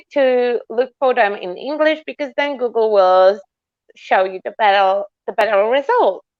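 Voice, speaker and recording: This woman speaks with a Polish accent. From Poland. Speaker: sculptor. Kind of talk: casual chat.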